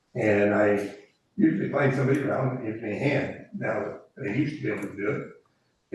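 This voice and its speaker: Audible room echo surrounds a man with an American accent. He talks at a fairly quick pace. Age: 80s+. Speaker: commercial fisherman. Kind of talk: public comment at council meeting. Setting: city council meeting room.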